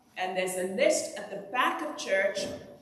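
A woman talks at a moderate pace, her medium pitch varying in an ordinary way. Audible room echo and noticeable background noise fill the recording. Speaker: priest. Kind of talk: church announcements. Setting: church.

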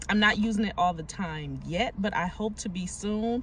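A woman's voice comes across somewhat breathy. The sound is dry with no echo, over light background noise. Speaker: shopping vlogger. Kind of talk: casual vlog chat. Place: car. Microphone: phone near.

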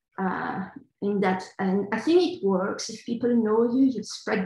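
Speaking at a moderate pace with a Belgian French accent, a woman sounds somewhat breathy, her intonation fairly even, with audible room echo over a quiet background. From Belgium, Brussels. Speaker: computational linguist; panelist. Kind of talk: panel discussion. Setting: video call. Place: home room. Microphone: video call.

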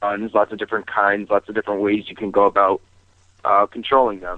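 A man's voice sounds dry with no echo against a quiet background. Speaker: radio caller. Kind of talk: call-in discussion. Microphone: phone line.

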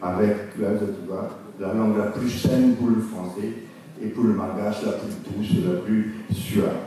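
A man's fairly low, monotone voice with flat intonation, at a fairly slow pace with long, frequent pauses, in strong room echo over light background noise. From Réunion. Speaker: linguist; lecturer on creole language. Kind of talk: lecture. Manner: halting. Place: hall. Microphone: podium.

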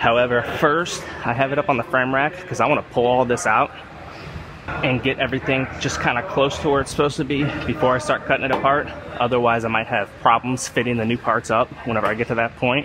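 A man talks at a very fast pace with fairly even intonation, in a dry sound with no echo but noticeable background noise. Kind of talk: casual tutorial commentary. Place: workshop. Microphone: phone near.

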